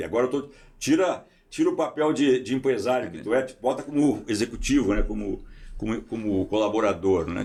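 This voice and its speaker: Vocal fry runs through a man's speech, which has lively intonation. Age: 70s. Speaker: podcast host. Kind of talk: casual interview chat.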